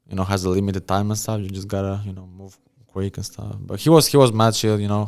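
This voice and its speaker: A man with an Albanian accent talks at a very fast pace in a fairly low pitch. His intonation stays fairly even while his loudness swings widely. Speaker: rapper and event promoter. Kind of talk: casual interview. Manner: halting, many fillers.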